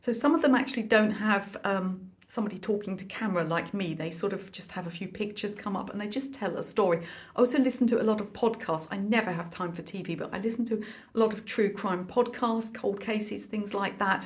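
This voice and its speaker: A woman at a very fast pace and medium pitch with ordinary pitch variation, plus audible room echo and noticeable background noise. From London. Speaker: art teacher and YouTuber. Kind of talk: casual chat to camera.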